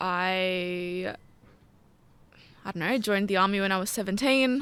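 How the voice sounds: At a fairly slow pace, a woman speaks with a medium pitch and a fairly bright, clear, smooth tone. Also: ordinary pitch variation.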